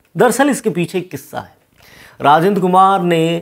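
The man talks rather slowly, his pitch varying in an ordinary way, against a quiet background. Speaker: presenter. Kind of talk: storytelling commentary. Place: studio. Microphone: lapel.

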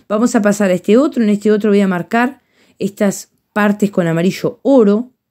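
Against a quiet background, a woman speaks at a fairly quick pace with a medium pitch, ordinary pitch variation, very even loudness and a dark, mellow tone. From Uruguay. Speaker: painting teacher. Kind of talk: tutorial. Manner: warm, affectionate. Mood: warm, affectionate. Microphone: phone near.

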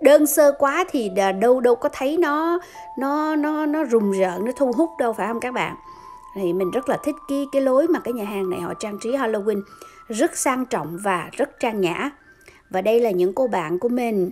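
Faint music plays in the background. A woman speaks at a high pitch and a fairly slow pace. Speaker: vlogger. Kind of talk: casual vlog narration. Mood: cheerful, admiring. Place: bar. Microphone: phone near.

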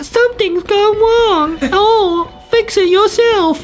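A put-on character voice, squeaky and extremely high in pitch, talks at a very slow pace. Music plays in the background. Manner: mocking, dismissive, unhelpful.

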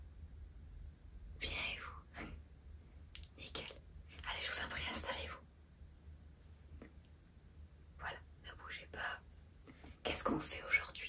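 A woman whispers at a very slow pace with long, frequent pauses. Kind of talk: role-play salon chat to a client. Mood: soft, friendly, attentive. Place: shop. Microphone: phone near.

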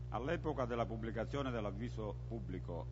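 Over noticeable background noise, a man with a very deep, low pitch and vocal fry talks at a fairly quick pace with fairly even intonation. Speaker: council member reading a report. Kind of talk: formal reading of an official text. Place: hall. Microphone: podium.

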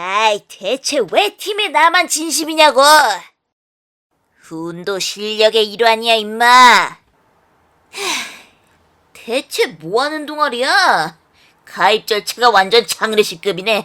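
A female-sounding voice performs a put-on character voice at a fairly high pitch. The pace is fairly slow.

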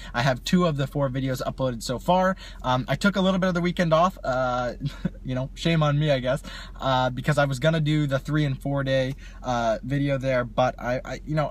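A somewhat breathy male voice at a fairly quick pace, ordinary pitch variation, dry sound with no echo. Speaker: vlogger. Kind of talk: casual vlog chat. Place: car. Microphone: phone near.

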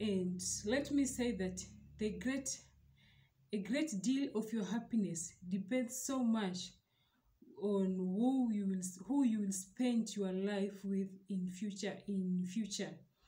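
A woman with a dark, mellow, somewhat breathy tone talks at a very slow pace with long, frequent pauses. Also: ordinary pitch variation. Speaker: relationship advice vlogger. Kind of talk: advice talk to camera. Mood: earnest, calm. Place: home room. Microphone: phone near.

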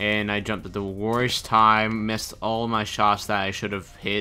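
A man speaks at a fairly low pitch. Music plays in the background. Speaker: gaming commentator. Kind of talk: live gameplay commentary. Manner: monotone.

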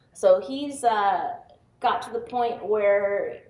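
A woman speaks with lively intonation. Audible room echo surrounds her voice. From US Pacific Northwest, Seattle. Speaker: software tester and quality director; conference speaker. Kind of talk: conference talk. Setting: stage with audience. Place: hall.

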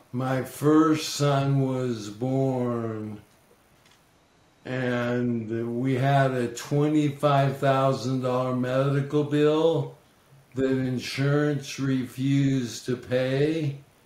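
A man speaks very slowly in a monotone, flat voice. Noticeable background noise runs behind him. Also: medium pitch for a man. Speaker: entrepreneur and angel investor. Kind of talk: interview. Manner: slurred.

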